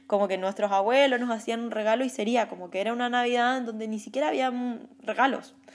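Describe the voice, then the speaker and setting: Speaking at a very fast pace, a woman has a fairly high pitch and fairly even intonation. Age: 30s. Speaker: life coach. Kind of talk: personal reflective monologue. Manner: halting.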